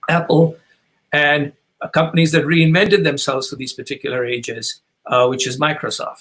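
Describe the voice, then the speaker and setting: Using an unremarkable speaking voice, a man talks fairly high in pitch with ordinary pitch variation. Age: 60s. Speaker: author and business advisor. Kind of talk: webinar talk.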